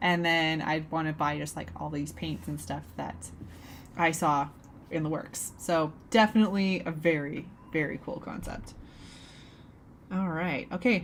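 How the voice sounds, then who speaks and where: Speaking slowly, a woman with a very deep, low voice and ordinary pitch variation leaves long, frequent pauses. Audible room echo surrounds her voice. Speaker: artist live-streamer. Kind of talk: casual live stream chat while drawing. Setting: home studio live stream.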